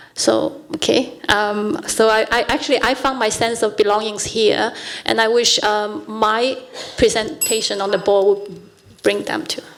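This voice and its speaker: At a fairly slow pace, a woman talks in a fairly high voice with fairly even intonation, against noticeable background noise. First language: not English. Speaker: school board candidate. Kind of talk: candidates debate. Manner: hesitant, many fillers.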